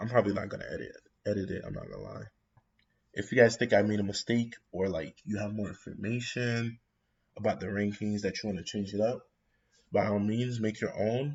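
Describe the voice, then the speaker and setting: A man speaks at a fairly quick pace in a fairly low, somewhat breathy voice with fairly even intonation. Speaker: anime YouTuber. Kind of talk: casual commentary. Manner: mumbling, halting.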